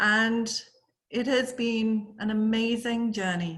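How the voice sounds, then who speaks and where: Her voice fairly high, a woman speaks in a bright, sharp tone with audible room echo. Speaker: corporate accessibility lead, conference speaker. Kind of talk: conference presentation. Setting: virtual forum presentation.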